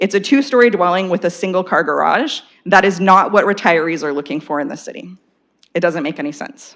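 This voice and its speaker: Her medium pitch and lively intonation stand out as a woman with a Canadian accent talks at a fairly quick pace with big swings in loudness. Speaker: local resident and school council parent. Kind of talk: public comment at council meeting.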